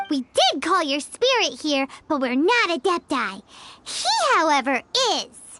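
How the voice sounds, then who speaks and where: This put-on character voice sits at a high pitch. It moves at a fairly slow pace. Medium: video game. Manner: chatty, wry.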